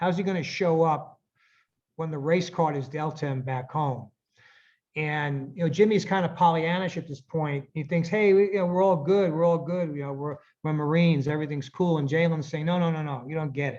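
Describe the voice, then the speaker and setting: Here is a normal speaking voice with an American accent. It moves at a fairly quick pace with fairly even intonation. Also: man, fairly high pitch for a man, quiet background. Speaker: author. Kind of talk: interview answer.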